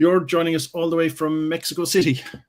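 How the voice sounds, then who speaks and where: A man with an Irish accent at a fairly quick pace. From Ireland. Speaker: podcast host. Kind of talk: interview.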